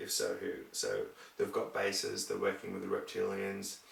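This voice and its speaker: There is audible room echo and noticeable background noise. The voice belongs to a man. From Scotland. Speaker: video blogger. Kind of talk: casual monologue. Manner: rambling, halting.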